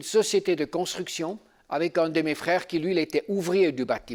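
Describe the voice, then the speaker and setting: A man speaks in a Swiss German accent at a high pitch and a moderate pace. The recording is very clean, with a silent background. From German-speaking Switzerland. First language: Swiss German (speaking French). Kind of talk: seminar teaching with personal testimony. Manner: halting, with fillers.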